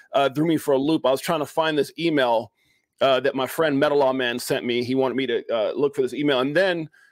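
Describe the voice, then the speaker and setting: A man speaks at a very fast pace with fairly even intonation. The sound is dry with no echo, and the background is quiet. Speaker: show host. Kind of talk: casual podcast chat. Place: home room.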